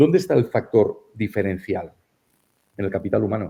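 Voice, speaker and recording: A man's fairly low, somewhat breathy voice at a fairly quick pace. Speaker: economic psychologist, keynote speaker. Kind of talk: interview. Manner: hesitant, many fillers.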